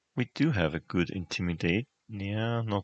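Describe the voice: Plain reading aloud, with ordinary pitch variation, comes over a quiet background.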